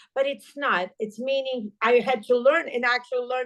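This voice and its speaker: A high-pitched woman's voice with a non-native accent, ordinary pitch variation and a moderate pace. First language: not English. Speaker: entrepreneur. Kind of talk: podcast interview.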